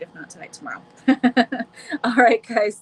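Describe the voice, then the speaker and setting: With noticeable background noise present, a woman talks in a fairly high pitch. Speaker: tarot reader. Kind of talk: live stream chat. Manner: casual, warm.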